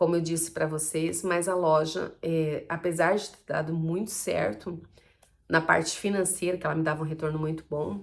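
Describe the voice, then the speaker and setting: Speaking with fairly even intonation at a moderate pace, a woman keeps her pitch fairly low. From Brazil, Campo Grande, Mato Grosso do Sul. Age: 40s. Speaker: vlogger, small entrepreneur. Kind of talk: personal vlog monologue. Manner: casual, conversational with fillers.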